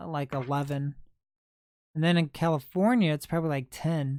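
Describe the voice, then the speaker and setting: The speaker talks at a moderate pace with a Midwestern accent. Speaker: livestreamer, thrift video creator. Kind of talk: casual livestream chat.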